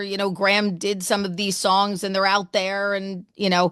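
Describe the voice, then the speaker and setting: A woman speaks at medium pitch and a moderate pace over a quiet background. Her tone is animated. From New Jersey. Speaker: radio host. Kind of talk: interview. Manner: loud.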